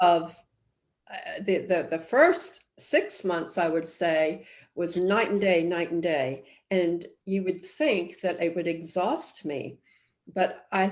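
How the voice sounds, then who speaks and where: Her pitch is fairly low for a woman, with ordinary pitch variation. She speaks at a very slow pace. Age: 60s. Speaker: author. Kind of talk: interview. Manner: halting.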